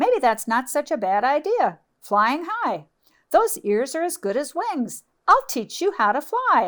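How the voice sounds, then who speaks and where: A woman puts on a character voice, high-pitched and swinging very widely in pitch. She speaks at a fairly slow pace. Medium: read story. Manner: brash, friendly.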